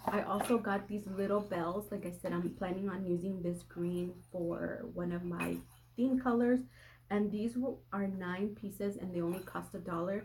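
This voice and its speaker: This woman has a medium pitch and a somewhat breathy voice, talking at a moderate pace with fairly even intonation. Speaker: lifestyle vlogger. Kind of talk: casual haul video.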